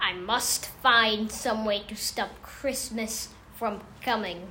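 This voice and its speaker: Growling in a put-on character voice, the speaker goes at a very slow pace over clear background noise. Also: female-sounding voice, fairly high pitch for a woman. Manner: snarling, grumpy.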